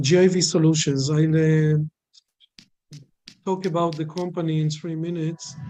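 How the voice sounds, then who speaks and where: With music in the background, a man with a non-native accent speaks in a fairly high, monotone, flat voice at a moderate pace, leaving long, frequent pauses. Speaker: company presenter. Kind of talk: business presentation. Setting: video call. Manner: halting, many fillers.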